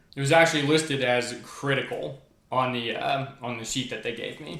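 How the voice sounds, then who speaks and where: This man's fairly high voice comes with audible room echo and noticeable background noise. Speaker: video creator. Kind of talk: personal vlog monologue. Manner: fast; excitable.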